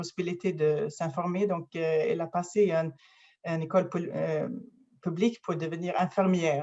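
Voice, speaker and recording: She speaks with a Swedish accent, a woman whose pitch sits fairly low. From Sweden, near Gothenburg. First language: Swedish (speaking French). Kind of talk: interview conversation. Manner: halting, many fillers.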